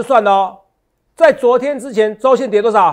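Against a quiet background, a man speaks at an extremely high pitch. His pace is fairly quick and his pitch varies in an ordinary way. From Taiwan. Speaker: stock market analyst. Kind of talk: market analysis show. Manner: animated, full of fillers. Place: studio. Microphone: lapel.

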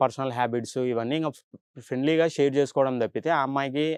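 A man speaks in an ordinary speaking voice at a medium pitch, with a quiet background. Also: dry, close sound with no echo. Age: 20s. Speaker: boyfriend in relationship counselling show. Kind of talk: testimony.

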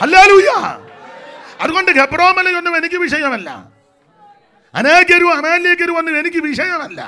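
A man speaks in a raised, projected voice at an extremely high pitch. His tone is animated, with ordinary pitch variation. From Kerala, India. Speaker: pastor. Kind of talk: sermon. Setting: church convention with audience. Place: church. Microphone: handheld.

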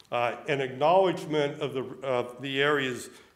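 An American man with a fairly high pitch talks at a moderate pace, with audible room echo. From Pittsburgh, US. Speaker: demographer; guest. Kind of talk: lecture. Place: hall. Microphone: podium.

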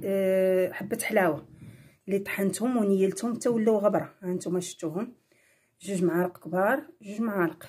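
Somewhat breathy speech moves at a moderate pace over a quiet background. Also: woman. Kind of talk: tutorial. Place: kitchen.

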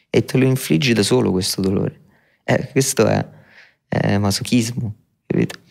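A man with a fairly low voice and vocal fry speaks at a moderate pace. He leaves long, frequent pauses. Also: ordinary pitch variation. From Rome, Italy. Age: 20s. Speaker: rapper. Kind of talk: interview. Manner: reflective.

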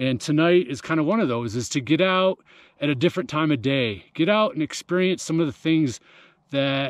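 In a dry sound with no echo, a man speaks at a moderate pace. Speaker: running coach. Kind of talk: casual vlog chat. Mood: reflective, calm. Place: open country. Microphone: phone near.

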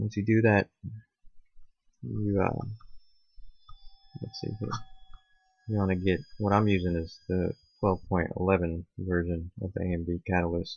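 A man with a very deep, low pitch mumbles at a fairly slow pace, somewhat breathy, with ordinary pitch variation and long, frequent pauses. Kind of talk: tech tutorial screen recording. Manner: mumbling, low volume; hesitant, many fillers.

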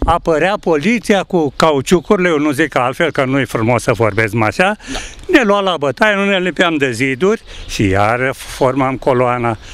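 A man at a moderate pace with very wide pitch swings, in a dry sound with no echo and light background noise. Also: fairly high pitch for a man. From Romania, Bucharest. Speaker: interviewee. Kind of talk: street interview. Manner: animated. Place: garden.

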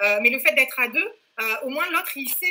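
A woman's raised, projected voice with ordinary pitch variation. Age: 40s. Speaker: fitness program client, mother. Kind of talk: interview. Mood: lively, enthusiastic. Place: home room. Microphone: webcam.

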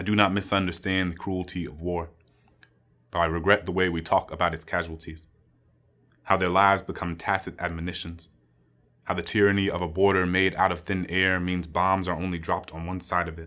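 A man with a very deep, low voice speaks in an American accent, his tone bright and sharp. His delivery is monotone and fairly quick, over a quiet background. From US. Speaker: poet. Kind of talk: spoken-word poetry reading, solemn and rhythmic. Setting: stage with audience. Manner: measured, building cadence of anaphoric 'And I' lines; grave, quietly impassioned, lingering on moral weight. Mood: solemn, reflective. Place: studio.

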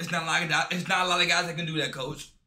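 A high-pitched man with an animated tone, amid audible room echo. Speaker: reaction YouTuber. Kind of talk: casual sports reaction video. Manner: animated, excitable; slangy, casual. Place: home room.

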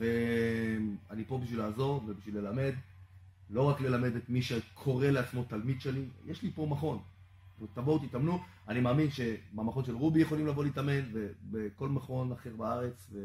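The voice is somewhat breathy with a dark, mellow tone, moving at a moderate pace with ordinary pitch variation. Light background noise and audible room echo are present. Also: man. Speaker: coach. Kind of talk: interview answer. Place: gym.

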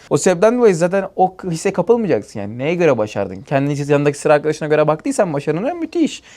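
Very fast and with hardly any pauses, a man talks at a fairly high pitch with very wide pitch swings on a very clean recording with a silent background. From Turkey, Denizli. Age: 20s. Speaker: tech startup founder and CEO. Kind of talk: podcast interview. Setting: company office.

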